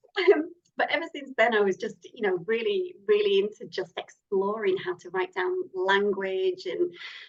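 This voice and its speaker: Her pitch fairly high and swinging very widely, a woman with a Lancashire accent speaks at a moderate pace with big swings in loudness. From northern England (Lancashire). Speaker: horror novelist. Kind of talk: interview.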